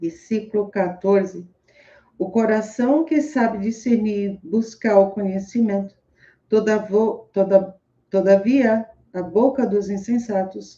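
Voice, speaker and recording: Very slow and somewhat breathy, the dark, mellow voice holds fairly even intonation with long, frequent pauses. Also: woman. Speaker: motivational speaker reading scripture. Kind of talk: casual live talk with scripture reading and commentary. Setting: home room with open window, street noise.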